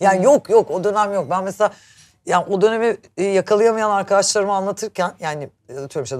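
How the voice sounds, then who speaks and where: This woman talks at a fairly quick pace. Her words come along briskly. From Turkey. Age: 40s. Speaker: show host. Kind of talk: casual chat. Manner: animated.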